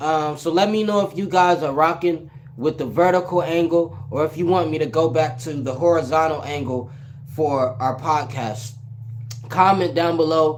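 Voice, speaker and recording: Noticeable background noise surrounds a man speaking. His voice sits fairly high, with ordinary pitch variation. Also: moderate pace. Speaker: podcast host. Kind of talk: casual solo podcast commentary.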